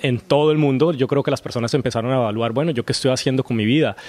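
Medium-pitched male voice with fairly even intonation and a dry, close sound with no echo. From Colombia. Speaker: actor. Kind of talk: interview.

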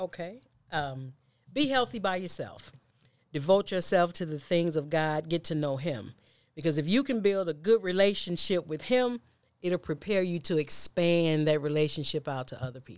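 In an ordinary speaking voice, a woman talks at a fairly low pitch and moderate pace, with lively intonation and big swings in loudness. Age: 40s. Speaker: preacher and author. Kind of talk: casual chat.

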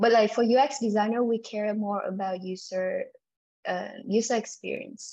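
A woman with a Vietnamese accent speaks at a fairly high pitch. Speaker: UX designer. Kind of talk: interview. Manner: halting, many fillers.

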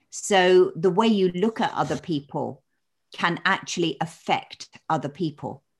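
At a fairly slow pace, this woman talks in a normal speaking voice, fairly low in pitch with ordinary variation. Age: 60s. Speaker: stress coach and public speaker. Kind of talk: interview.

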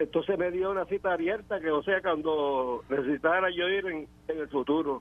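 A man speaks at a moderate pace with a high pitch. His pitch variation is ordinary. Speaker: caller, veteran. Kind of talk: phone-in call. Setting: phone call. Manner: halting.

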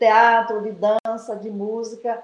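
Her pitch sits fairly high for a woman. She talks at a fairly slow pace. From Baixada Maranhense, Maranhão, Brazil. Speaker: education professor. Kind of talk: interview. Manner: hesitant, many fillers.

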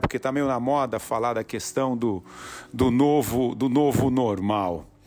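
At a fairly slow pace, a man talks in a medium pitch. His tone is animated. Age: 40s. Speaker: entrepreneur and podcast host. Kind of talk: motivational monologue. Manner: repetitive, halting.

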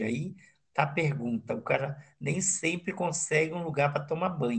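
This man's high voice has lively intonation and moves at a moderate pace. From Brasília. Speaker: experienced backpacker, podcast host. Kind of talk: casual interview.

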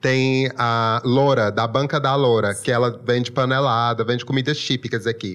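A man speaks in a strong Maranhão accent at a medium pitch and moderate pace. His intonation is fairly even, his loudness very even, with hardly any pauses. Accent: strong local Maranhão. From Imperatriz, Maranhão, Brazil. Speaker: food influencer, journalist. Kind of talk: interview.

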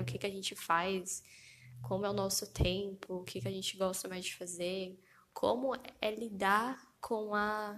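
A woman's medium-pitched voice with vocal fry. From Brazil. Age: 20s. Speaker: podcast host, physiotherapy student. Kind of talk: solo podcast introduction, casual monologue. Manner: animated, gesturing with hands; laughing often.

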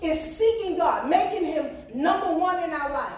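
Noticeable background noise runs behind a woman speaking in an animated tone. Her pitch varies in an ordinary way. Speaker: preacher. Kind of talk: sermon, preacher in full flow, call-and-response with congregation. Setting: church with congregation. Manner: animated, emphatic, repeating phrases for punch, urgent exhortation; rhythmic, call-and-response with 'Amen?' and 'Come on now'.

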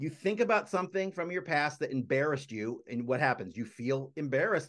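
With a quiet background, the speaker uses a normal speaking voice at a moderate pace with lively intonation. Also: man. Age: 40s. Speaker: motivational speaker. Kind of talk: interview.

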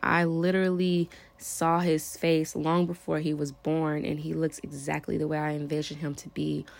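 On a very clean recording with a silent background, a woman with a very deep, low pitch speaks in fairly even intonation. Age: 30s. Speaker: podcast host. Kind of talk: solo monologue. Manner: casual, laughing.

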